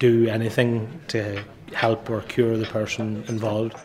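Noticeable background noise surrounds the recording. A man speaks at a medium pitch. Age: 40s. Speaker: pub owner. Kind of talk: interview.

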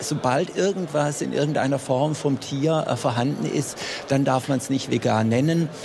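A man speaks at a moderate pace with fairly even intonation and a fairly high pitch, noticeable background noise behind him. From Swabia, Germany. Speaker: consumer advice nutrition expert. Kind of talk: radio panel discussion. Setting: trade fair stand.

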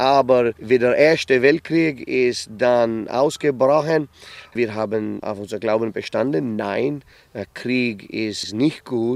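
This man talks at a very slow pace. His voice sits at a medium pitch with ordinary pitch variation. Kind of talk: interview.

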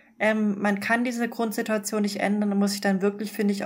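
Against noticeable background noise, a woman talks at a medium pitch with monotone, flat intonation. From Munich, Bavaria. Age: 30s. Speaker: doctor. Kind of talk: interview.

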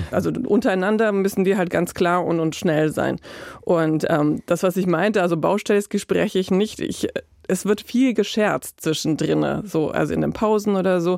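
A woman's medium-pitched voice with vocal fry, ordinary pitch variation, a moderate pace and very even loudness. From Croatia. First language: Croatian (speaking German). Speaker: freelance journalist. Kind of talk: interview; narrated radio feature.

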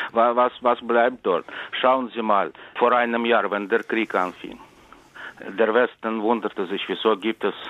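A man in a Russian accent talks at a fairly slow pace and a fairly low pitch. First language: Russian (speaking German). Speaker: writer. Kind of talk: interview.

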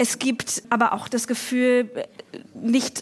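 Her pitch sits fairly high, and a woman delivers her words in a flat monotone. Background noise is noticeable. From northern Germany. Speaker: writer. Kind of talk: panel discussion. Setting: stage with audience.

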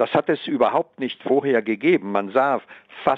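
A man speaks at a medium pitch. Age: 70s. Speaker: journalist. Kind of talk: interview.

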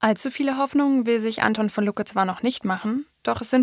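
On a very clean recording with a silent background, a woman's voice sounds dry and close with no echo and shows ordinary pitch variation. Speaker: radio presenter. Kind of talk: scripted narration. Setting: studio. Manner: standing while speaking.

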